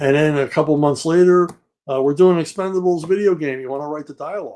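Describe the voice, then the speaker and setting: This man has a Philadelphia accent and a fairly high pitch. He talks at a fairly quick pace with ordinary pitch variation. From Philadelphia, US. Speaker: comic writer and novelist. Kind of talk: interview, storytelling.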